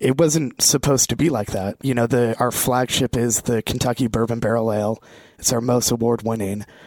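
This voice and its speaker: In an American accent, a man with a normal speaking voice talks at a fairly quick pace. His pitch is medium and his intonation fairly even, on a very clean recording with a silent background. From Vermont, US. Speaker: brand representative for a beer and spirits company. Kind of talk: casual chat, live interview. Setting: co-working space, live broadcast.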